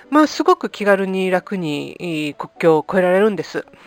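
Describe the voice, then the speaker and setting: The sound is dry and close, without any echo. A woman talks at a moderate pace. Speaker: podcast host and life coach. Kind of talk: casual podcast monologue.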